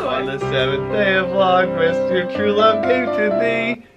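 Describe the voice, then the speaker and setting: A man at a fairly slow pace over loud background music. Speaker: vlogger. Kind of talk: casual couples challenge vlog talk to camera. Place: home room. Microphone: camera far.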